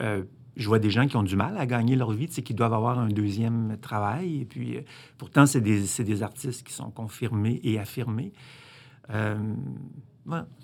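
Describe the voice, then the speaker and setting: Speaking at a moderate pace with long, frequent pauses, a man uses a medium-pitched voice with vocal fry and ordinary pitch variation. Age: 60s. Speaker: filmmaker. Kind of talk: interview.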